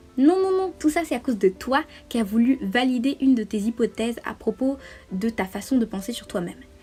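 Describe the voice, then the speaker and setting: Over music in the background, a woman talks at a fairly quick pace in a high voice with lively intonation. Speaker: vlogger. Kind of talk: advice monologue. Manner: fast; hesitant fillers.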